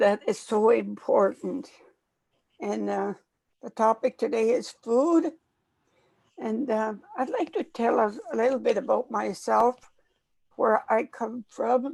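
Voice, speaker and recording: A woman at a very slow pace, with long, frequent pauses. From northern Saskatchewan, Canada. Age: 80s+. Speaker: elder and chef. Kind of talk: storytelling. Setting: pre-recorded conversation.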